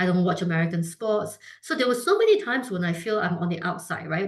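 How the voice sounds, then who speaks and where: Lively intonation marks this woman's medium-pitched voice. She talks at a very fast pace. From Singapore. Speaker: food brand founder. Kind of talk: interview. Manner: many fillers and restarts.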